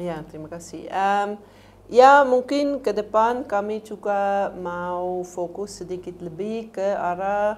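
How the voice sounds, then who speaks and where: A woman's medium-pitched voice with a non-native accent, very slow in pace, ordinary in pitch variation, with big swings in loudness. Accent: fluent Indonesian, non-native. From Switzerland. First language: not Indonesian (speaking Indonesian). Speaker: NGO program coordinator. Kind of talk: interview. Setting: studio. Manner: halting, with fillers.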